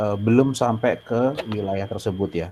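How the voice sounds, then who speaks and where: This is a man's voice. Its pitch sits in the medium range. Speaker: moderator of student webinar. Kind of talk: moderated online discussion. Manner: hesitant with fillers.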